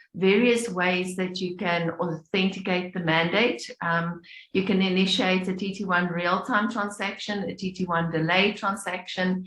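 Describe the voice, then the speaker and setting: Fairly even in intonation and moderate in pace, a woman's medium-pitched voice is an unremarkable speaking voice. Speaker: payments industry presenter. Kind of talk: webinar presentation.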